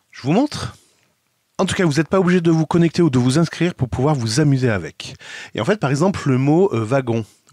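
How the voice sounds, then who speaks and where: Music plays behind a man's voice. The sound is dry and close, without echo. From France. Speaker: tech video blogger. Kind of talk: tutorial.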